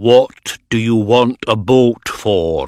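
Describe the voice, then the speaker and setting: A man's put-on character voice at a medium pitch. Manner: unfriendly, wary.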